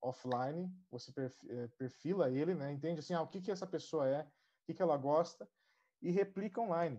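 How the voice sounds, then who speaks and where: A man speaks with a dark, mellow tone and a fairly high pitch. He keeps a moderate pace and ordinary pitch variation. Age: 30s. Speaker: digital marketing specialist. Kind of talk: live panel discussion.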